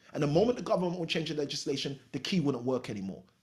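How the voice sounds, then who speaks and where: Very fast and animated, a man talks with a fairly high pitch, lively intonation and a somewhat breathy sound. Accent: British. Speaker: real estate coach. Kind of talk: podcast interview.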